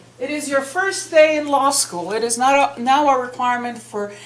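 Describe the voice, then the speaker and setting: Amid noticeable background noise and audible room echo, a woman with a high pitch speaks at a moderate pace with lively intonation. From Peru. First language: Spanish. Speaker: professor. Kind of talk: lecture. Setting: lecture hall with audience.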